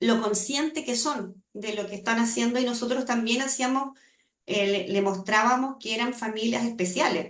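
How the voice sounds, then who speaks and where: An ordinary speaking voice, with ordinary pitch variation, goes along at a moderate pace. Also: woman, fairly high pitch for a woman. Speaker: language acquisition researcher. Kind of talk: seminar Q&A answer.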